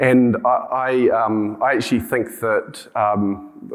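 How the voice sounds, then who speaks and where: A man with a New Zealand accent on a very clean recording, the background silent. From New Zealand, rural. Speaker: healthcare tech company CEO. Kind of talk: conference talk. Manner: halting, many fillers and restarts.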